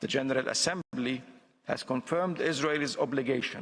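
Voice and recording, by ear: Moderate pace and ordinary pitch variation. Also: man.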